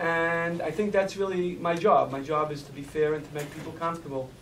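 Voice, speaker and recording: Audible room echo surrounds a man's fairly high voice, delivered with fairly even intonation. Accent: Brooklyn. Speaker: judge. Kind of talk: panel discussion. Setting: community forum.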